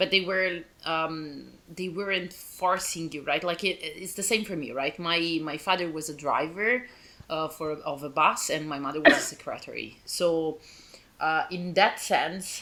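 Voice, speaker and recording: A woman with an Italian accent speaks at a fairly low pitch with ordinary pitch variation and big swings in loudness, over noticeable background noise. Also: fairly slow pace. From Italy. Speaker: podcast host. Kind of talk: casual chat.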